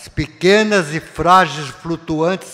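Very slow pacing marks this delivery. Pitch rises and falls in an ordinary way. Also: man. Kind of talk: lecture. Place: hall. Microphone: podium.

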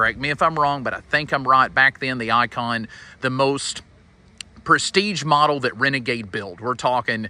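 A man with a bright, sharp tone, ordinary pitch variation and a moderate pace, in a dry sound with no echo. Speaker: RV dealer salesman. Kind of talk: casual product walkaround commentary. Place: street.

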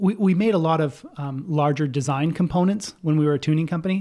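With a quiet background, a man's dark, mellow tone moves at a moderate pace and shows ordinary pitch variation. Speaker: podcast guest. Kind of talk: interview answer. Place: home room. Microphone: studio mic.

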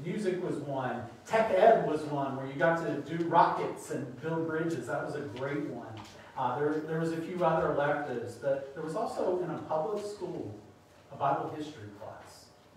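A man talks at a moderate pace with ordinary pitch variation. There is strong room echo and light background noise. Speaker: preacher. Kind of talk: sermon. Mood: light, humorous. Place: church.

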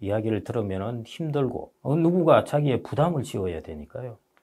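Against a quiet background, a man speaks at a fairly quick pace. His pitch swings very widely. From South Korea. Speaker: economist and book author; guest. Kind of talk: interview. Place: studio. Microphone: lapel.

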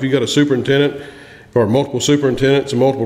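A man's medium-pitched, slightly mellow voice with fairly even intonation and audible room echo.

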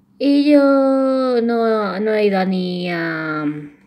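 Audible room echo surrounds a woman whose intonation is lively. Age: 20s. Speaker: YouTuber. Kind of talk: casual vlog narration. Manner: halting.

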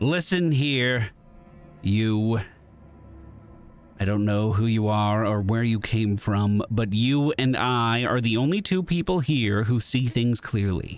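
A man speaks in a put-on character voice, husky and growling, at medium pitch and a fairly slow pace, with clear music playing in the background. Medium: game stream. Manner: blunt, guarded.

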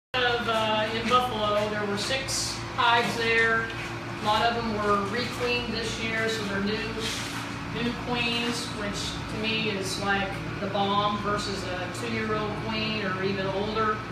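Over loud background noise and with audible room echo, a woman speaks at a fairly slow pace. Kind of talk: tour explanation. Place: workshop. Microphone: camera far.

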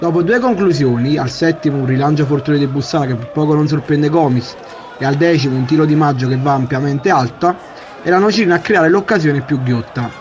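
Crowd noise fills the background as a man speaks very fast at a fairly high pitch. His loudness is very even, and his pitch variation is ordinary. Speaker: sports commentator. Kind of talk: sports match report, recap narration of highlights. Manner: brisk, matter-of-fact, formal.

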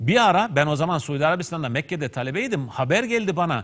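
Very wide pitch swings at a fairly quick pace over a quiet background. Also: man. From Turkey. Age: 50s. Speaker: preacher; religious teacher on TV program. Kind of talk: religious talk. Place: studio. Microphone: lapel.

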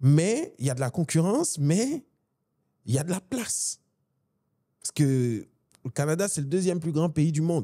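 A man speaks in a dark, mellow tone with lively intonation. He leaves long, frequent pauses against a quiet background. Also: moderate pace. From Côte d'Ivoire. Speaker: business executive, event organization president; podcast guest. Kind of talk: interview conversation. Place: studio. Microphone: studio mic.

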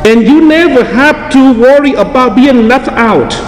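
Over clear background noise, a man talks at a fairly slow pace with an extremely high pitch. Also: ordinary pitch variation.

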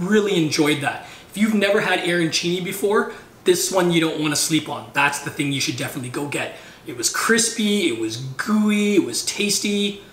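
A man at a moderate pace, with audible room echo. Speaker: food vlogger. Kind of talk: casual vlog chat.

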